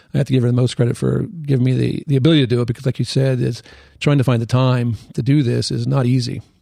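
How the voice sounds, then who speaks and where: With an American accent, a man talks at a very fast pace in a dark, mellow, somewhat breathy tone with fairly even intonation. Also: medium pitch for a man. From western Pennsylvania. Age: 60s. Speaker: orthopedic surgeon and amateur triathlete. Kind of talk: podcast interview.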